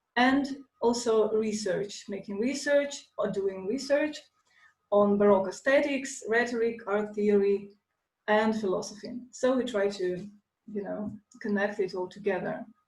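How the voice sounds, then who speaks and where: A woman with a Russian accent, fairly high pitch, ordinary pitch variation, a somewhat breathy voice and a fairly slow pace, with audible room echo. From Russia, Moscow. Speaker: lecturer, classical philologist and dancer. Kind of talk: lecture. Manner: halting, many fillers.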